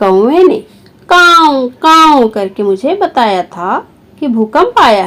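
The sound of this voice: A very slow, high-pitched cartoonish character voice from a woman, full of very wide pitch swings.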